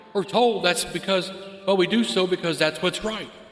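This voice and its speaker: Clear of nothing but the music in the background, a man speaks in a high voice. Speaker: podcast host, spiritual mentor and life coach. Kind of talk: podcast monologue, impassioned spiritual and peace message.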